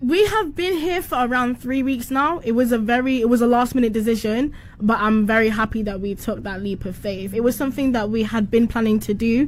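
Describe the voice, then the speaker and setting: In a British accent, this speaker goes at a fairly quick pace with hardly any pauses and ordinary pitch variation, against noticeable background noise. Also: woman, fairly high pitch for a woman. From United Kingdom. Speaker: musician. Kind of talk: casual chat.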